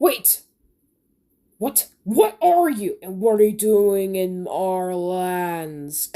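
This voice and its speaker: A put-on, growling character voice, female-sounding, medium in pitch and very slow. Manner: snarling.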